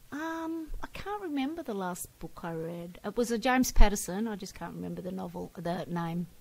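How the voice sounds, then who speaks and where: In an Australian accent, the speaker moves at a moderate pace with hardly any pauses, very wide pitch swings and big swings in loudness. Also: woman, medium pitch for a woman. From Victoria, Australia. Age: 60s. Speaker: retired school integration aide. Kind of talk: interview.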